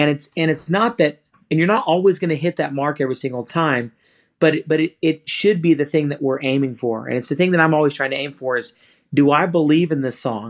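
A man with an ordinary speaking voice talks at a fairly quick pace, his fairly high pitch showing ordinary variation over a quiet background. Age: 30s. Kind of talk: casual interview. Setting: video call.

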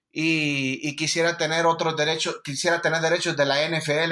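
At a fairly slow pace, a man talks in a fairly high pitch with a bright, sharp tone. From Honduras. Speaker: sports journalist. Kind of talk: podcast interview. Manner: halting, many repetitions.

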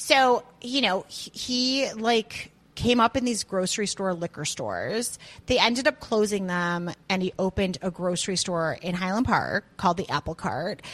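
A woman with an American accent has a normal speaking voice at a medium pitch, with lively intonation and a moderate pace. The sound is dry and close with no echo. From US Midwest, Chicago area. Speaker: chef and restaurant owner. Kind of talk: casual chat.

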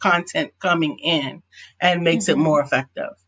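A woman speaks in an ordinary speaking voice, fairly low in pitch with ordinary pitch variation, at a moderate pace. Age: 50s. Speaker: business coach and author. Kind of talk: interview.

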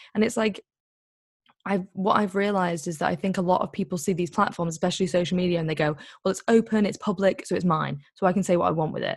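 A woman talks at a very fast pace in a somewhat breathy, medium-pitched voice with ordinary pitch variation. The background is quiet. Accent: English. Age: 20s. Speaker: activist and author. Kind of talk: interview.

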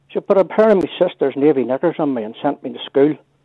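With a Northern Irish accent, a man with a fairly high pitch talks fairly quickly and with lively intonation. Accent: rural Northern Irish. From Northern Ireland. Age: 60s. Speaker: caller. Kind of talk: radio phone-in chat. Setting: phone call. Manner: animated.

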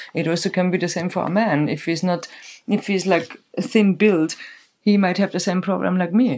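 At a moderate pace, a woman with a German accent speaks with fairly even intonation. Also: medium pitch for a woman. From Germany. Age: 40s. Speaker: festival decor maker and stage builder. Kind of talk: casual chat. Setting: sitting together on a bed at night.

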